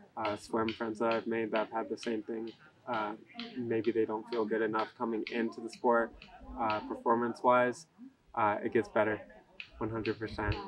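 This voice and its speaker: A man with an American accent speaks at a fairly slow pace and a medium pitch, with long, frequent pauses. His monotone, flat intonation carries over noticeable background noise. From California. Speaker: college runner. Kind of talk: interview. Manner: casual, with many fillers. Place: waterside.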